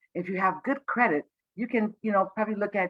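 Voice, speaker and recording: A woman's voice with ordinary pitch variation over background music. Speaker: credit counselor presenting a webinar. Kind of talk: online presentation. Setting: livestreamed video webinar. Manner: fast.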